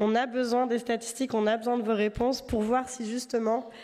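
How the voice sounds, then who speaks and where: A woman's fairly high voice holds a monotone, flat intonation at a moderate pace. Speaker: consulting firm director. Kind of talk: award presentation speech. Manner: hesitant, many fillers.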